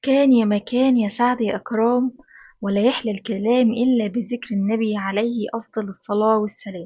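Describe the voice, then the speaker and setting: A woman speaks in a somewhat breathy voice with monotone, flat intonation. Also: moderate pace. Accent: Egyptian. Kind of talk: children's bedtime story narration.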